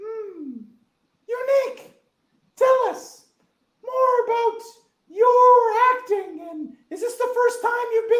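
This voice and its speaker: An extremely high cartoonish character voice at a very slow pace, broken by long, frequent pauses. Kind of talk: puppet interview host.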